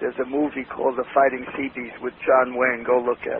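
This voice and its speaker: A man's medium-pitched, monotone, flat voice in a New York accent, very fast, amid noticeable background noise. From New York City, Lower East Side. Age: 80s+. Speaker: entrepreneur. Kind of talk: interview.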